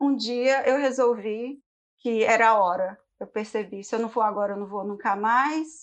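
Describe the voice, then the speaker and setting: A woman's ordinary speaking voice, fairly high in pitch, with ordinary pitch variation at a moderate pace against a quiet background. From Brazil, Belo Horizonte. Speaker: product designer. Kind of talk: interview.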